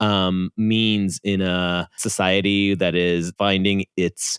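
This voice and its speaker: In an Israeli accent, a man speaks with a dry, close sound and no echo. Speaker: podcast co-host. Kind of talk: casual podcast intro chat.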